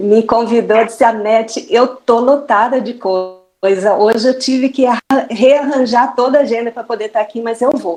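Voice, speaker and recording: Using a Brazilian accent, a woman talks at a moderate pace and fairly high pitch with fairly even intonation and hardly any pauses. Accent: non-Bahian Brazilian. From Brazil, not Bahia. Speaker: mathematics teacher. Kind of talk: online panel talk.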